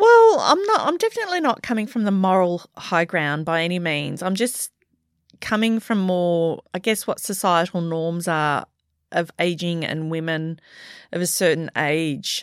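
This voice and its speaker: Speaking in an Australian accent, a woman uses a fairly low pitch with ordinary variation at a moderate pace, in a very clean recording with a silent background. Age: 50s. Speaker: podcast co-host. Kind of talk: casual chat.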